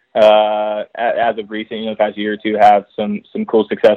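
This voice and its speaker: Talking at a fairly quick pace, a man speaks with an American accent. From Texas. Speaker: motocross team mechanic. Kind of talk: casual interview.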